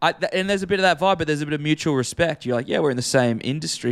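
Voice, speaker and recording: Lively intonation marks this voice with an Australian accent, heard in a very clean recording against a silent background. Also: man. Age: 20s. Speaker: podcast co-host and radio presenter. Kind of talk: casual chat.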